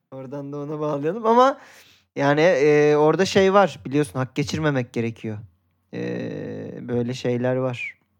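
At a moderate pace, a man speaks with fairly high pitch and lively intonation. He takes long, frequent pauses. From Turkey, Izmir. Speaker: football podcast co-host. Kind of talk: casual chat.

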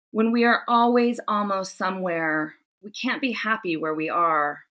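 A woman with an American accent speaks fairly slowly at medium pitch, with ordinary pitch variation. Her tone is bright and sharp, and the recording is very clean with a silent background. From Southern California. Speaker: author and essayist. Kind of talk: interview; reading aloud.

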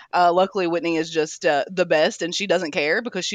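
With an American accent, a woman talks very fast at a fairly low pitch with ordinary pitch variation. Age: 30s. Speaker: executive chef. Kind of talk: casual interview.

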